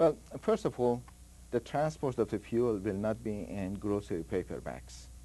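A man's fairly low, dark and mellow voice with vocal fry and very wide pitch swings. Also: moderate pace. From Iran, Tehran. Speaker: nuclear engineer. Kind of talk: interview.

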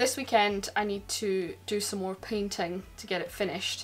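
A woman's voice with ordinary pitch variation over faint music in the background. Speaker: boat owner vlogger. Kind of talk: casual vlog chat. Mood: upbeat, excited. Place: boat. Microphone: phone near.

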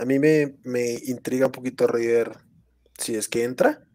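Fairly even intonation marks a man's dark, mellow tone in this one sentence. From Colombia. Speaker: fantasy football analyst. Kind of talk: casual chat. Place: home room. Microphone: headset.

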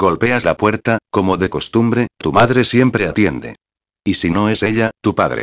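In a dramatic tone, a man speaks at a fairly low pitch and fairly slow pace, with vocal fry and ordinary pitch variation. His loudness stays very even, and the sound is dry and close with no echo over a quiet background. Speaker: creepypasta narrator. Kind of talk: ghost story narration. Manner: second-person storytelling, dramatic.

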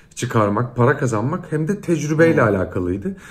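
Very wide pitch swings mark this man's speech. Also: quiet background. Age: 30s. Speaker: singer and actor; actor. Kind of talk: casual interview. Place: home room.

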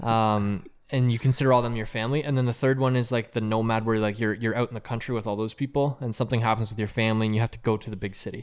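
Against a quiet background, a man at medium pitch talks at a very fast pace with hardly any pauses and a monotone, flat intonation. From Canada. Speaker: podcast co-host. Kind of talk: casual chat. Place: home room. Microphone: studio mic.

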